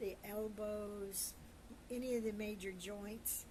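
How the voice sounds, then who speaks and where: Against noticeable background noise, a woman with a fairly high pitch speaks at a very slow pace in a monotone, flat intonation. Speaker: storyteller. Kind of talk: casual personal storytelling to camera. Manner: halting, searching for words.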